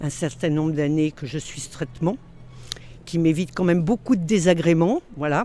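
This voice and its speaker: Her pitch is very deep and low, and the woman's voice varies in pitch in an ordinary way. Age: 60s. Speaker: interviewee in vox pop. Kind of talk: interview answers. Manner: hesitant.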